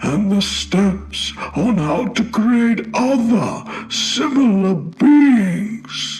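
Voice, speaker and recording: A man's high-pitched, put-on character voice, very slow yet with hardly any pauses, full of lively intonation. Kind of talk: horror narration. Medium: read story. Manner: calm, measured, cryptic.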